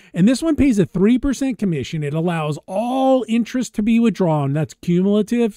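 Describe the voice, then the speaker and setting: Lively intonation and a dark, mellow tone mark a man's voice at a moderate pace. The sound is dry with no echo, over a quiet background. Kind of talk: screen-share product commentary. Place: home room. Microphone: webcam.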